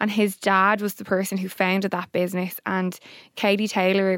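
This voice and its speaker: A woman with an Irish accent, medium pitch, moderate pace and monotone, flat intonation, in a dry, close sound with no echo. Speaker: podcast co-host. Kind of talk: casual chat.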